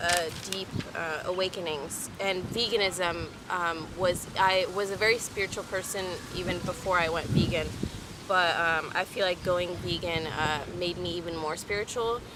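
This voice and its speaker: A woman talks at a moderate pace with a fairly low pitch and fairly even intonation. Noticeable background noise and audible room echo come through. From Texas, Houston. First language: French. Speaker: vlogger. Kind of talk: casual chat. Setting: outdoors. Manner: hesitant with many fillers.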